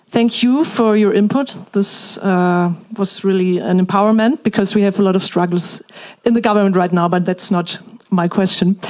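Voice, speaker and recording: A woman speaks with a German accent at a moderate pace. Her loudness stays very even. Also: ordinary pitch variation. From Germany. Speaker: member of parliament. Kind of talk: audience question. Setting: stage with audience. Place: hall.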